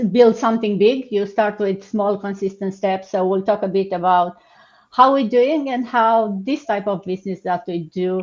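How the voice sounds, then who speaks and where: Against a quiet background, a woman with a Romanian accent talks at a moderate pace. Her voice sits at medium pitch with ordinary pitch variation. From Romania, Suceava. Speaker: online business host. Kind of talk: live stream business session.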